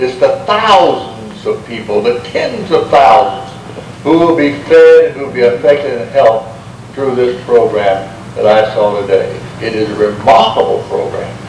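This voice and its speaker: A man talks at a moderate pace. Audible room echo and light background noise surround him. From United States. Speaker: Baptist minister. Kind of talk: speech to an audience. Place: hall. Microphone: podium.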